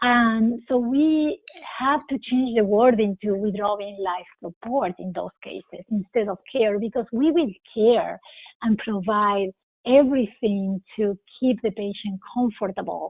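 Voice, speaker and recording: Here is a woman with a non-native accent. Her pitch sits fairly high. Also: ordinary pitch variation. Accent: foreign. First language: not English. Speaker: critical care physician. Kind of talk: interview.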